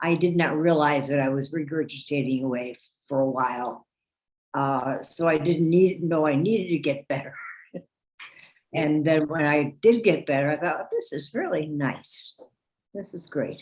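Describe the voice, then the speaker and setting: Long, frequent pauses break up the woman's speech. Her pitch is very deep and low. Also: ordinary pitch variation, moderate pace. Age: 80s+. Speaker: heart valve patient. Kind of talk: interview testimony. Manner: halting.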